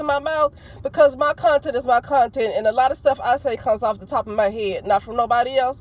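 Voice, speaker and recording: Loud and high-pitched, a woman talks at a fairly quick pace with an Alabama accent. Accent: still country, Alabama. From US South, Alabama. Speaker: vlogger. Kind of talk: opinion vlog monologue. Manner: passionate.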